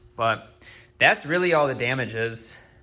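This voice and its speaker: A man's voice with a bright, sharp tone. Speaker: car hobbyist vlogger. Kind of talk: casual vlog explanation. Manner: rambling, casual.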